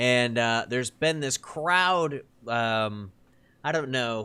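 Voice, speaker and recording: A bright, sharp voice at a very slow pace with lively intonation, on a very clean recording with a silent background. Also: man. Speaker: podcast host. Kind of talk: casual chat. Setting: recorded podcast with co-hosts.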